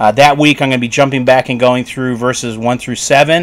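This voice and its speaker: A man speaks at a moderate pace. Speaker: pastor preaching online. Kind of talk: sermon. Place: home room. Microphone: studio mic.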